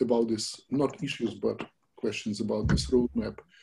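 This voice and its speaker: A man with a dark, mellow tone and vocal fry speaks with ordinary pitch variation over light background noise. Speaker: new open-source contributor. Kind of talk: online project meeting. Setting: video call. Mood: tentative, newcomer. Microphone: video call.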